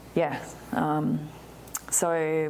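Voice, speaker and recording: A woman with an Australian accent speaks in a very deep, low voice. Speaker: winemaker. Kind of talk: oral history interview, telling her life story in a relaxed conversational way. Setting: in-person interview in a library. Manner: animated, chatty, laughs often.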